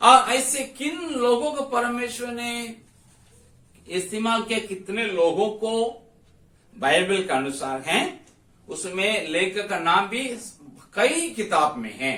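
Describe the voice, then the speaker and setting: Using a raised, projected voice, a man speaks at high pitch with very wide pitch swings and long, frequent pauses, in a room with audible echo. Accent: Tamil. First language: Tamil (speaking Hindi). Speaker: Bible teacher. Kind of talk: Bible study lecture.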